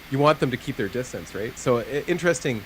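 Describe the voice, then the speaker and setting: A very fast pace from a male speaker. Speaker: gaming commentator. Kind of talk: live commentary. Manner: animated.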